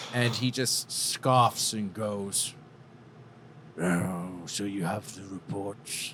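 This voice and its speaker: A man's put-on character voice, fairly low in pitch, at a very slow pace with fairly even intonation over clear background noise. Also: big swings in loudness. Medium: actual play. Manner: scoffing.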